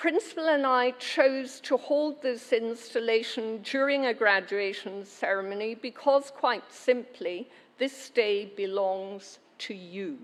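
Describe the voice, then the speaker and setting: Speaking at a very slow pace with hardly any pauses, a woman uses a high pitch. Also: ordinary pitch variation. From Scotland, Glasgow. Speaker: university chancellor. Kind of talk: ceremonial speech. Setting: graduation ceremony hall with audience. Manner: formal.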